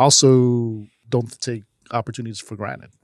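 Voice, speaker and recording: A man with a Chicago accent on a very clean recording with a silent background. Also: dry, close sound with no echo. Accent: Chicago American English. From US Midwest, Chicago. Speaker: nonprofit founder and nightlife promoter. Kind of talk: interview.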